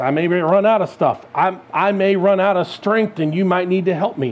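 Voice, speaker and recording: With ordinary pitch variation, this man talks at a high pitch. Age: 40s. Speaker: guest preacher. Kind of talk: sermon. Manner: conversational.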